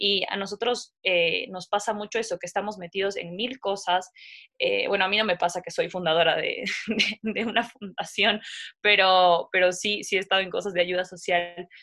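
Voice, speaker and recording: A woman speaks at a moderate pace in a bright, sharp tone. Her intonation is fairly even. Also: medium pitch for a woman. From Ecuador, coastal region (La Concordia). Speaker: podcast host. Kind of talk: casual interview.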